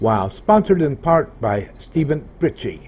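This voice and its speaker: A loud man's voice, dark and mellow in tone, at a fairly slow pace with very wide pitch swings. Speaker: video tutorial creator. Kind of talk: tutorial.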